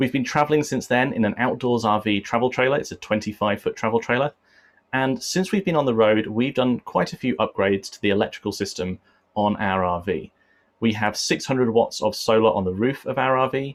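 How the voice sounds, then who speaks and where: Speaking at a fairly quick pace with an English accent, a man holds a medium pitch and ordinary pitch variation. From England. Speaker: RV solar presenter. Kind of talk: online presentation.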